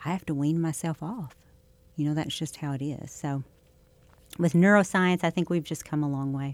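A woman speaks with a very deep, low pitch and ordinary pitch variation. Her moderate pace is broken by long, frequent pauses. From Southeast Missouri. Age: 50s. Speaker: state senator. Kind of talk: interview. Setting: studio.

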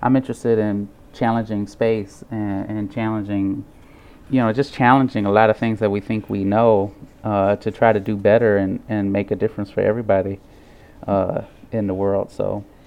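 A man speaks at a moderate pace with an American accent. His fairly low voice stays monotone and flat. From St. Louis, Missouri. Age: 20s. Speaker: artist. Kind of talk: radio interview.

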